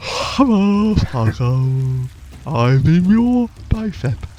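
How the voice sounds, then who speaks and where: A put-on character voice at a middle pitch crawls along at a very slow pace with very wide pitch swings over clear background noise. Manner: weird, evil.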